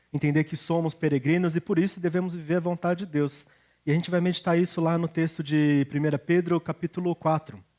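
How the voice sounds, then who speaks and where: Dry and close with no echo, a man's high-pitched voice with a dark, mellow tone moves at a fairly quick pace in a flat monotone. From Brazil, Curitiba then São Paulo state. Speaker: pastor. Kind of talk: sermon.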